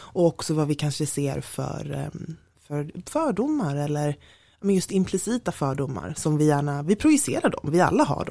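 In a Stockholm accent, a woman speaks at a moderate pace on a very clean recording with a silent background. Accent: Stockholm accent, clearly audible. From Stockholm, Sweden. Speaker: diversity network co-founder, strategist. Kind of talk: podcast interview.

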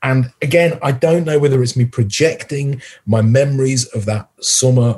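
A man with a Yorkshire accent speaks at a moderate pace with hardly any pauses, his somewhat breathy voice dark and mellow in tone, at a medium pitch with ordinary pitch variation. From Yorkshire, northern England. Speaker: music critic. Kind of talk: casual chat.

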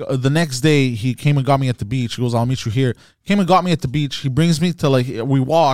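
In a dry, close sound with no echo, a man uses a normal speaking voice with a fairly high pitch, ordinary pitch variation and a moderate pace. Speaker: comedian. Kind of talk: casual chat.

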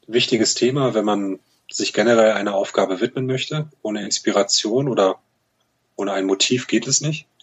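Here a man talks at a moderate pace in a medium pitch with ordinary pitch variation. It is a plain, everyday voice. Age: 30s. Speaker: fintech startup program manager at a bank. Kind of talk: interview.

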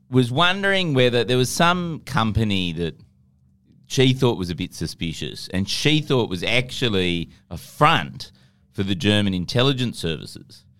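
The very clean recording with a silent background captures a man with an Australian accent and very wide pitch swings. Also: medium pitch for a man, moderate pace. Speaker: comedy news podcast host. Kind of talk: casual comedic chat.

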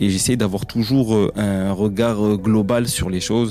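Over noticeable background noise, a man with a fairly low voice speaks at a fairly slow pace with fairly even intonation. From Mayotte. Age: 20s. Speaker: interviewee sharing personal story. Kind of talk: personal testimony. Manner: hesitant, many fillers.

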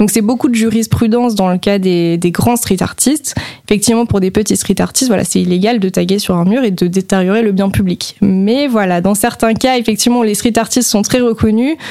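The voice has a dark, mellow tone and ordinary pitch variation. It moves at a fairly quick pace with very even loudness. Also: woman, medium pitch for a woman, hardly any pauses. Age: 20s. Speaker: museum manager. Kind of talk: radio interview. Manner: hesitant with many fillers.

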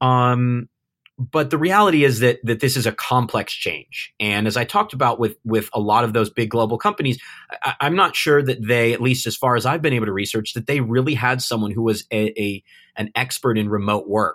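A man with a Californian accent speaks at a fairly quick pace with ordinary pitch variation. The recording is very clean with a silent background, dry and close with no echo. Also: medium pitch for a man. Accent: Californian American English. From Southern California. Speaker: remote-work company founder. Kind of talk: interview conversation. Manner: halting, many fillers and repeats.

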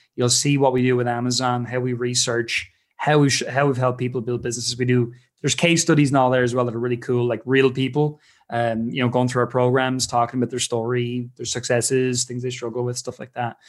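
Speaking at a very fast pace, a man with an Irish accent keeps a medium pitch in a flat monotone. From Ireland. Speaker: business founder. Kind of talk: casual interview chat.

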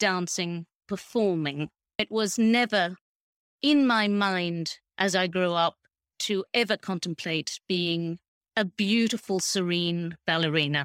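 With an Australian accent, a woman speaks at a very slow pace with lively intonation, in a dry, close sound with no echo on a very clean recording with a silent background. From rural Queensland, Australia. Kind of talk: interview.

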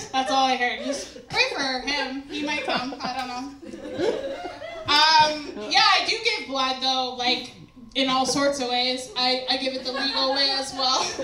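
Over noticeable background noise, a woman uses a raised, projected voice at a high pitch, speaking at a fairly slow pace with ordinary pitch variation. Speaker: stand-up comedian. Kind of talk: stand-up comedy set. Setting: stage with audience. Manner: profane, sassy, self-mocking.

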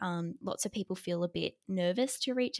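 In an Australian accent, a woman speaks at a medium pitch with ordinary pitch variation, captured as a very clean recording, silent background, with a dry, close sound with no echo. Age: 20s. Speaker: psychologist. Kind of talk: interview.

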